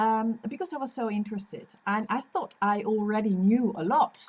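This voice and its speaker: A woman speaks with a somewhat breathy, fairly high voice. Her pitch varies in an ordinary way. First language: Dutch. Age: 50s. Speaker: lactation consultant. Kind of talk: interview. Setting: podcast recording. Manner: halting.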